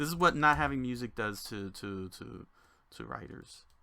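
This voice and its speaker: On a very clean recording with a silent background, a man talks at a moderate pace in a bright, sharp tone with lively intonation. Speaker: game designer and streamer. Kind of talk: livestream commentary while working. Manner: playful, rambling. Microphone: audio issues noted.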